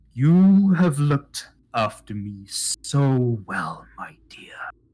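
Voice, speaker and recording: Very slow pace in a put-on character voice. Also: man, fairly high pitch for a man. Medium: actual play.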